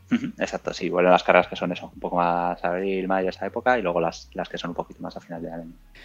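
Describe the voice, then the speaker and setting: Talking at a very fast pace with hardly any pauses, a man with a very deep, low pitch keeps fairly even intonation while his loudness swings widely. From Spain, Burgos. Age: 30s. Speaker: amateur marathon runner. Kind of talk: interview.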